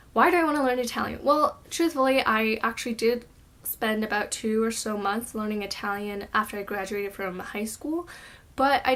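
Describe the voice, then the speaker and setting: This woman has a normal speaking voice with fairly high pitch and ordinary pitch variation. She talks at a moderate pace. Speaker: language-learning vlogger. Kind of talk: casual vlog talk to camera. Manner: casual with filler words.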